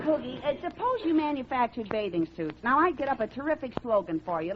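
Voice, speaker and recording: A woman with a high voice and very wide pitch swings talks at a fairly quick pace over noticeable background noise. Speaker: radio comedian. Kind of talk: old-time radio comedy sketch. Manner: eager, fast-talking, comedic.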